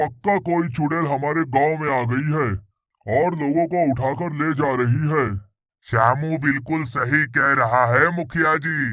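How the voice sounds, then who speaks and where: In a cartoonish character voice, a man speaks at a moderate pace with a fairly high pitch. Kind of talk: cartoon character dialogue.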